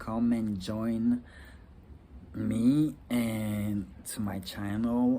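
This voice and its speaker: The man's voice is fairly low, and its pitch varies in an ordinary way. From Rwanda. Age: 30s. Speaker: vlogger, law student. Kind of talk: casual vlog monologue. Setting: outdoors. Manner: halting, many fillers.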